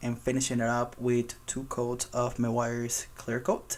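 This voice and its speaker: At a fairly slow pace, this speaker talks with a non-native accent. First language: not English. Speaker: car detailing youtuber. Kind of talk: tutorial voiceover. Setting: recorded voiceover over work footage. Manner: hesitant, with filler ums.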